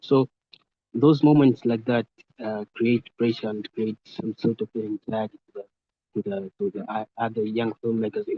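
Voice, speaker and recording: The speaker has an East African accent. The intonation is fairly even. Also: man, medium pitch for a man, moderate pace. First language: Swahili. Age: young. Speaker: young filmmaker. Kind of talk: online group discussion. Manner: halting.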